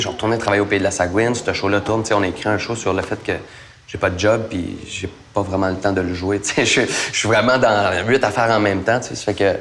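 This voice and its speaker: Over noticeable background noise and audible room echo, a man talks at a very fast pace with fairly even intonation. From Acadia, northern New Brunswick (McKendrick). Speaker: actor. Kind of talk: interview. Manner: casual, hesitant with fillers.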